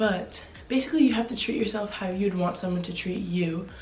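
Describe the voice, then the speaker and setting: A woman with a medium-pitched voice talks while audible room echo fills the space. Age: young. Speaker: video blogger. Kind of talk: casual chat. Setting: home, seated in spinning chair.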